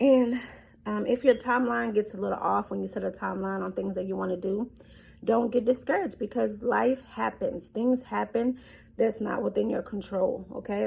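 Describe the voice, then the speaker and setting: The delivery moves at a moderate pace over noticeable background noise. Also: woman. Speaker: motivational vlogger. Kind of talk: motivational talk. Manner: casual, many fillers.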